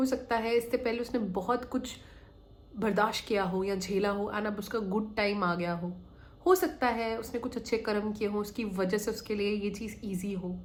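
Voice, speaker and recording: The voice is somewhat breathy and moves at a moderate pace. Audible room echo surrounds it. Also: woman, fairly high pitch for a woman. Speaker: manifestation coach. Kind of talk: motivational talk. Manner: conversational.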